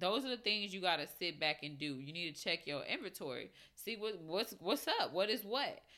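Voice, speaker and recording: A woman at a medium pitch talks at a moderate pace with lively intonation and hardly any pauses, over noticeable background noise. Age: 20s. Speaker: podcast host. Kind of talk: casual monologue. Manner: casual, filler-heavy.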